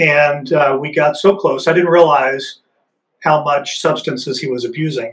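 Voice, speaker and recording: The voice belongs to a man and sounds somewhat breathy. His pitch is fairly high. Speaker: Army Ranger veteran, nonprofit executive director. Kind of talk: interview.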